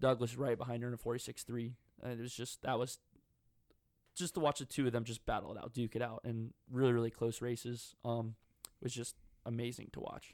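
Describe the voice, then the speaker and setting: A man with an American accent talks at a fairly quick pace and medium pitch, his intonation monotone and flat, broken by long, frequent pauses. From North Carolina. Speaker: swim coach and podcast co-host. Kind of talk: casual chat.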